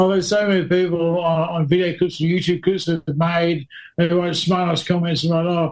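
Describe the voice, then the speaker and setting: A man with an Australian accent speaks in a high pitch and a monotone, flat intonation. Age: 40s. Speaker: stunt driver. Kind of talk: casual chat.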